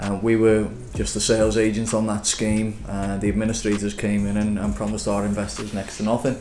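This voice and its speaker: A man with a Liverpool accent speaks at a fairly quick pace in a fairly low, flat monotone, barely pausing, with audible room echo and noticeable background noise. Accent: Liverpool (Scouse). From Liverpool, England. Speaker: property developer. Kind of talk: business interview. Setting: office. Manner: hesitant, many fillers.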